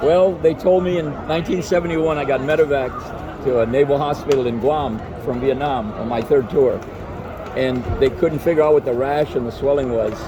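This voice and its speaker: A man's fairly high-pitched voice at a fairly quick pace, with ordinary pitch variation and noticeable background noise. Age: 80s+. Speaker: Vietnam war veteran. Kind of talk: casual interview.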